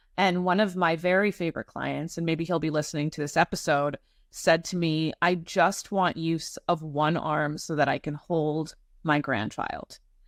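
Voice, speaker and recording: In an unremarkable speaking voice, a woman talks at a moderate pace with a fairly low pitch and fairly even intonation, the sound dry and close with no echo on a very clean recording over a silent background. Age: 40s. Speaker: podcast host, estate planning lawyer. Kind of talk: podcast interview.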